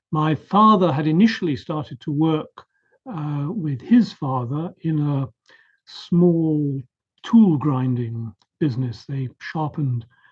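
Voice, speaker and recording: A man with a fairly high pitch and a somewhat breathy voice talks at a very slow pace with lively intonation. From southern England, Surrey. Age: 70s. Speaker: professor. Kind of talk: interview. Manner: hesitant fillers.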